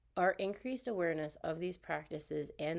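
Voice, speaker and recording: A woman with a fairly low pitch and vocal fry speaks at a moderate pace. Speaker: graduate student in special education. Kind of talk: recorded class presentation. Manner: halting, with self-corrections.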